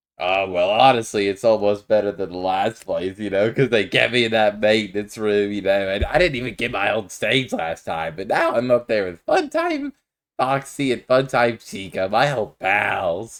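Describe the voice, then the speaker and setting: This is a put-on character voice pitched low. It moves at a moderate pace. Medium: machinima. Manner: laid-back, folksy.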